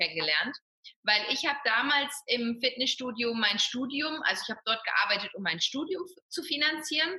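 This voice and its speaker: A woman speaks in a high, raised, projected voice at a moderate pace with lively intonation. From Ruhr area, western Germany. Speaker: fitness coach and personal trainer. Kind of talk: interview.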